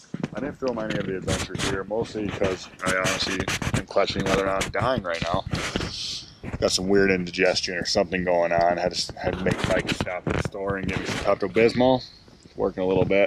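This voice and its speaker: A man's very deep, low voice at a very fast pace, over noticeable background noise. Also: fairly even intonation. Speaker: fishing vlogger. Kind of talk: casual vlog.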